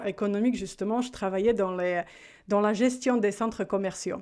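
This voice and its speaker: The pitch shows ordinary variation. The background is quiet. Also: woman. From Slovakia. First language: Slovak (speaking French). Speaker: life coach. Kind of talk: interview.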